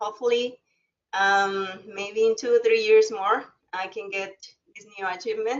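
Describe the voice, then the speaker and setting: Her pitch is fairly high and her intonation fairly even. The woman speaks at a fairly slow pace. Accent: slight Spanish. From Mexico. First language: Spanish. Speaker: alumna, former college student. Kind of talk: webinar talk. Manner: halting.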